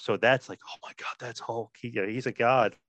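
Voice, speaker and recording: Fairly quick speech from a man with a New Jersey accent, his intonation fairly even. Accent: New Jersey American. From New Jersey, US. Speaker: wrestling podcaster. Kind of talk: casual interview chat.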